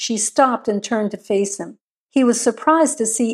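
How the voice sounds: A natural reading voice with ordinary pitch variation comes through over a quiet background.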